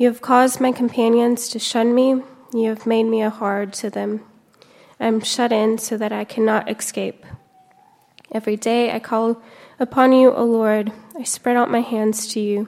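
Speaking in a monotone, flat way at a moderate pace, a woman with a fairly high pitch leaves long, frequent pauses. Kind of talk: scripture reading. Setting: church.

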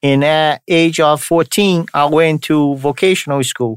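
A man speaks at a fairly high pitch. The recording is very clean with a silent background and a dry, close sound with no echo. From Brazil, São Paulo. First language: Portuguese. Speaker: podcast host, entrepreneur. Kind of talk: casual monologue.

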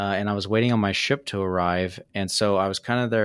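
In a very clean recording with a silent background, a man talks at a fairly quick pace in an ordinary speaking voice, fairly low in pitch with fairly even intonation. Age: 40s. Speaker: podcast host. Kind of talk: interview.

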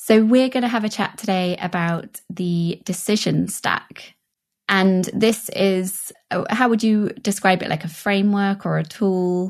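An unremarkable speaking voice from a woman, medium in pitch, fairly slow and fairly even in intonation, over a quiet background. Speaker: podcast co-host. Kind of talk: podcast interview.

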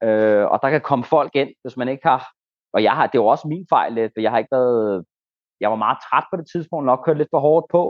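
A man's plain, everyday voice at medium pitch, with ordinary pitch variation and a moderate pace. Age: 30s. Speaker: ayahuasca shaman. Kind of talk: interview.

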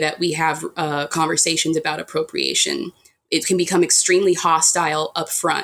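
A woman talks at a moderate pace in a normal speaking voice. Her pitch sits fairly low. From United States. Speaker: author. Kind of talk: interview.

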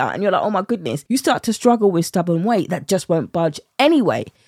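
In a British accent, a woman speaks at a fairly quick pace with an animated tone, the sound dry and close with no echo. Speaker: weight loss coach. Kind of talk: podcast solo monologue, promotional.

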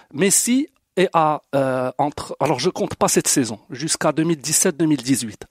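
On a very clean recording with a silent background and a dry, close sound with no echo, a man speaks at a very slow pace in a fairly high voice with ordinary pitch variation. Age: 40s. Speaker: football fan. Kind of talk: casual debate.

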